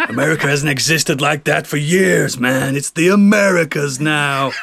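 A man puts on a character voice at a fairly high pitch, talking at a moderate pace over light background noise. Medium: actual play. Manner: gruff, swaggering.

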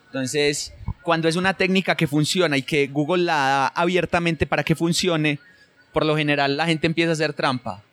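Delivered in an unremarkable speaking voice at a fairly quick pace, the speech has fairly even intonation and very even loudness, with a dry, close sound and no echo. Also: man, fairly high pitch for a man. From Colombia, rural Antioquia near Medellín. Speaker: SEO specialist. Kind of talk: interview conversation.

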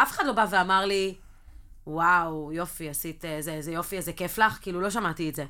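A bright, sharp tone at a very fast pace. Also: woman, very clean recording, silent background. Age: 40s. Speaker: podcast co-host. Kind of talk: casual chat.

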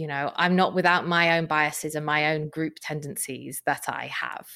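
A woman with a Welsh accent is heard on a very clean recording with a silent background. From South Wales. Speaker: nonprofit CEO and political campaigner. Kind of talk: interview.

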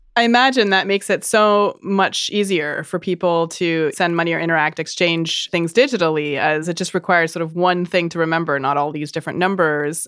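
A woman with an unremarkable speaking voice talks at a fairly quick pace with hardly any pauses. Her pitch is fairly low and varies in an ordinary way. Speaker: podcast host. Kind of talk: scripted narration.

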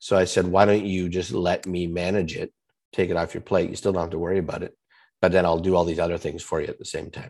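A man talks very fast in a very deep, low voice with flat, monotone delivery against a quiet background. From Canada. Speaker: fractional chief marketing officer and copywriter. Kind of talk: interview. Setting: remote call.

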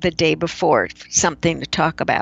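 With an American accent, a woman speaks. Her voice has vocal fry. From US Midwest, Chicago. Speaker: keynote speaker and author. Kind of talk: casual interview.

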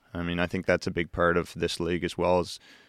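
The recording has a quiet background and a dry, close sound with no echo. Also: man. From Nova Scotia, Canada. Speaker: university hockey player. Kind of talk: casual chat.

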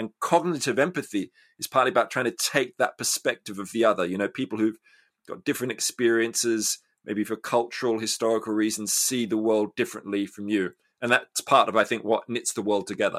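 At a fairly quick pace, a man with an Australian accent speaks at a medium pitch with ordinary pitch variation, on a very clean recording with a silent background. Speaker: public philosopher and author. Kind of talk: interview conversation.

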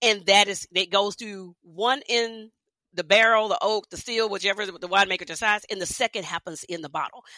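A woman with an American accent and a plain, everyday voice speaks at a medium pitch and a fairly quick pace. Her intonation is fairly even, and the sound is dry and close with no echo. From Texas, Houston. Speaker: wine writer and consultant. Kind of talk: interview, casual chat.

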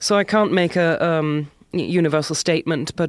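A woman with a German accent is captured in a very clean recording with a silent background. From southwest Germany (Karlsruhe). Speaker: graphic artist and author. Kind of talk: interview and reading aloud from memoir. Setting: studio.

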